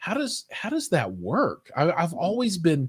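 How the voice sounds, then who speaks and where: A man with an American accent speaks at a moderate pace, somewhat breathy, with very wide pitch swings. The sound is dry and close, with no echo. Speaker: tech and hi-fi show host. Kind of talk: interview. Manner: hesitant, many fillers.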